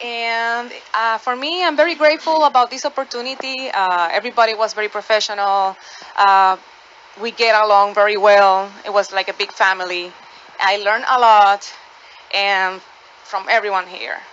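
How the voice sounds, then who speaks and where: A woman with a Spanish accent talks at a moderate pace in a fairly high pitch with ordinary pitch variation. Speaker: actor. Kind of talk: radio interview. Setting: studio. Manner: halting.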